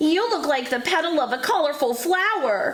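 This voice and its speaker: A put-on character voice at a moderate pace, full of very wide pitch swings. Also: woman, high pitch for a woman. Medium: read story.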